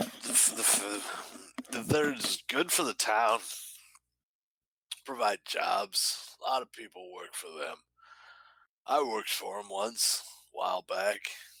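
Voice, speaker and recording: Putting on a raspy character voice, a man of medium pitch talks at a fairly slow pace with long, frequent pauses. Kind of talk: folksy small-town talk. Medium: actual play. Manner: rambling, hesitant, full of filler words.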